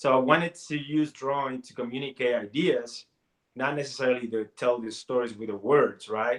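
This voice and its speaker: With a Spanish accent, a medium-pitched man speaks in fairly even intonation while his loudness swings widely. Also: moderate pace. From Puerto Rico. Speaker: comic artist and college teacher. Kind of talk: interview.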